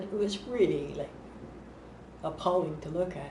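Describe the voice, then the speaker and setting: A woman talks at a moderate pace and a medium pitch over noticeable background noise. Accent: Canadian. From Montreal, Canada. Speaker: mental health advocate and author. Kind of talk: interview answer. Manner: casual, conversational.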